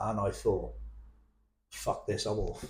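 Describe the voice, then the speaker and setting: A man with a West Country accent speaks in a dark, mellow tone that is somewhat breathy. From England, Plymouth. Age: 60s. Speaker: abuse survivor sharing his story. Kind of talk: emotional testimony in interview. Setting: cafe. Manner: halting, with repetitions.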